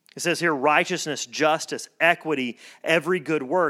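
This man's high-pitched voice shows ordinary pitch variation on a very clean recording with a silent background. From US South. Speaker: pastor. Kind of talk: sermon. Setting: church.

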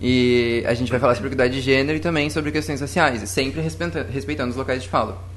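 With audible room echo and noticeable background noise, a man speaks at medium pitch with lively intonation. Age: 20s. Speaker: scout volunteer. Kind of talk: panel discussion. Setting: studio.

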